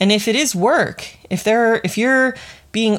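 A plain, everyday voice from a woman at a moderate pace with fairly even intonation, on a very clean recording with a silent background. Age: 30s. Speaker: podcast host, leadership coach. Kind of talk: solo podcast monologue. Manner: casual, conversational.

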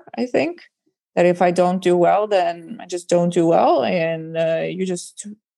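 A woman with an Estonian accent speaks at a moderate pace in a medium pitch, her tone dark and mellow. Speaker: stand-up comedian. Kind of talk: casual chat.

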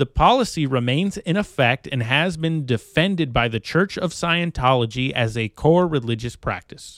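A man with an American accent has a normal speaking voice, fairly high in pitch, with lively intonation. He talks at a moderate pace with hardly any pauses, and the sound is dry and close with no echo. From California. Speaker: podcast host. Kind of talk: reading aloud; casual chat.

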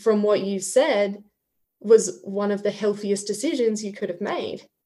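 A woman's dark, mellow voice at medium pitch, fairly slow, with ordinary pitch variation.

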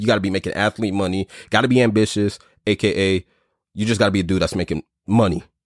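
Someone with a New York accent talks at a very fast pace in a very clean recording with a silent background and a dry, close sound with no echo. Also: man. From US Northeast (Brooklyn, New York). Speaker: podcast host. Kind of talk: casual chat. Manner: animated.

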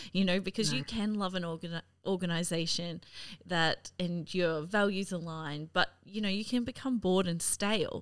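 A woman with an Australian accent speaks at a moderate pace. Her pitch is medium and varies in an ordinary way. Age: 30s. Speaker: podcast host. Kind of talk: casual interview. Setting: video call.

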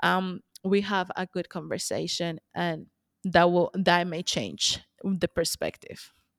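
In a very clean recording with a silent background and a dry, close sound with no echo, a woman speaks very slowly with a Spanish accent. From Colombia. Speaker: money mindset coach. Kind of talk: interview podcast.

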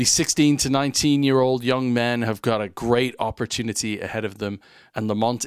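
In a plain, everyday voice, a man of medium pitch speaks at a fairly slow pace on a very clean recording with a silent background. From Canada (Winnipeg), then England. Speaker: sports podcast host. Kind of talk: interview; scripted narration.

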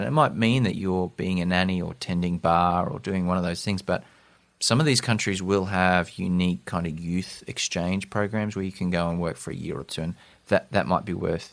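Speaking at a fairly quick pace with an Australian accent, a man's very deep, low voice comes through on a very clean recording with a silent background. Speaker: podcast host. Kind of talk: interview.

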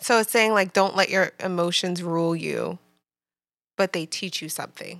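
A woman with an American accent has an ordinary speaking voice at a fairly low pitch, using fairly even intonation and big swings in loudness at a moderate pace, in a dry, close sound with no echo. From New Jersey. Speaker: PhD student. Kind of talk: casual chat.

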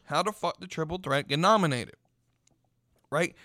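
A man's bright, sharp tone at a high pitch, fairly quick in pace, with ordinary pitch variation. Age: 20s. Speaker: wrestling podcast host. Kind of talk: casual solo commentary. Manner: rambling with filler words and repetitions.

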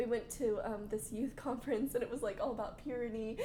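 A woman at a very fast pace with fairly even intonation, over noticeable background noise. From Arkansas. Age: 20s. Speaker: stay-at-home mom. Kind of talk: casual chat.

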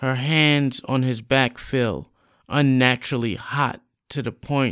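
Against a quiet background, the reading aloud is plain.

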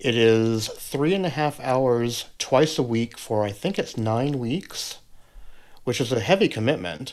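On a very clean recording, silent background, a man speaks at a fairly slow pace. His is a plain, everyday voice with medium pitch and lively intonation. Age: 50s. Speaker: podcaster and vocal coach. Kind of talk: casual chat.

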